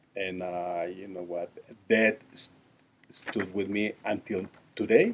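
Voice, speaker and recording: In a Mexican accent, a man speaks very slowly with a very deep, low pitch, monotone, flat intonation, and long, frequent pauses. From Mexico. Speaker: interviewee, immigrant. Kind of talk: interview. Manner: halting.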